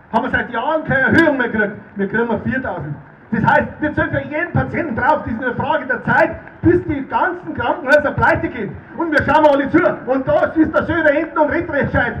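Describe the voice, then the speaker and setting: A man's extremely high voice at a very fast pace with ordinary pitch variation, audible room echo and light background noise. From Erding, Bavaria. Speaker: politician, state parliament member. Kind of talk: political rally speech. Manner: fiery, rousing. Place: tent. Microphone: handheld.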